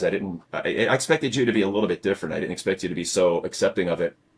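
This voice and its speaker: The recording of this man's voice is very clean, and the background is silent. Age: 60s. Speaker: podcast host, cancer survivor. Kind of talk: casual chat. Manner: halting, many fillers and repetitions.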